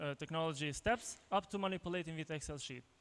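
In an Albanian accent, a man talks at a fairly quick pace with a high pitch. His intonation is fairly even. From Kosovo. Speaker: tech entrepreneur, conference speaker; conference speaker. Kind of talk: conference talk. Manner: halting, many fillers and repetitions. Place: hall. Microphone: handheld.

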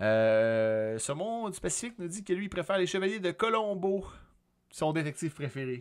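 Over a quiet background, a man with a Quebec accent speaks at a moderate pace in a high pitch that swings very widely. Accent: Québécois French. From Quebec, Sorel. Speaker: podcast host and streamer; stream host. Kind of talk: casual chat. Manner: hesitant, many filler sounds. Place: home room. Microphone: studio mic.

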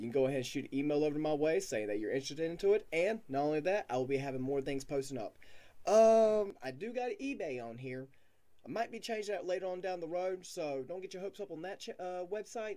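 Very fast speech with very wide pitch swings and a dark, mellow tone. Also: man. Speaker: small channel creator. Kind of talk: casual vlog chat. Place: home room. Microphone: webcam.

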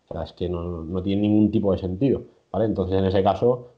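The man's intonation is fairly even, and the background is quiet. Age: 20s. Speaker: strength sports nutrition coach. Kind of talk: interview. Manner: halting, many repetitions. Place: home room. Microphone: video call.

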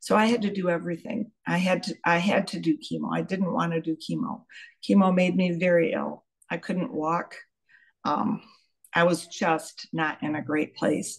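Over a quiet background, a woman with a fairly low pitch and vocal fry talks at a moderate pace with ordinary pitch variation. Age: 70s. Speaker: pharmacist. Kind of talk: testimony. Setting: video call. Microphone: video call.

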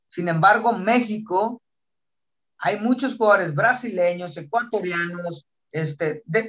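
A man talks at a fairly slow pace with lively intonation and a bright, sharp tone. The background is quiet. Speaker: podcast host. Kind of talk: podcast sports debate. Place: home room. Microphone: video call.

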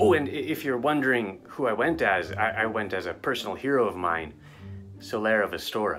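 A man talks at a fairly low pitch while clear music plays behind him. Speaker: father vlogger. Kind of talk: casual vlog chat. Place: home room. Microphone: webcam.

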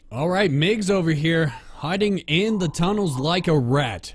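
A man speaks at a fairly high pitch. His pace is fairly slow and his intonation lively.

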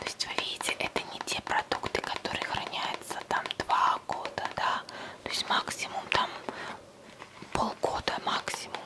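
Whispering from a woman, fairly slow, with long, frequent pauses. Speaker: ASMR creator. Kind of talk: casual talk to camera, product show-and-tell. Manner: soft, close-up whisper. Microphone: studio mic.

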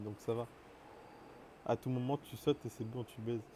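A man is speaking. His pace is fairly quick. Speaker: gaming streamer. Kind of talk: live gaming stream chat. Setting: online voice chat while streaming. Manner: animated.

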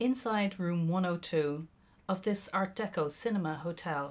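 In an Irish accent, a woman speaks with a fairly low pitch and ordinary pitch variation. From Ireland. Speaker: poet. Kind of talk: poetry performance. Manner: slow, lyrical, deliberate reading.

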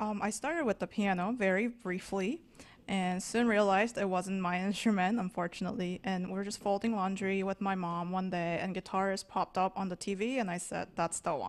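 At a moderate pace with few pauses, a woman speaks at medium pitch with fairly even intonation.

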